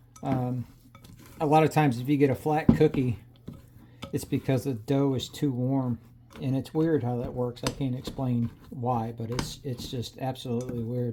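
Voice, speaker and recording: Over noticeable background noise, a man mumbles at a moderate pace with fairly even intonation. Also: medium pitch for a man. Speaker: cooking channel host. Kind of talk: casual cooking tutorial. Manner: mumbling; casual, halting.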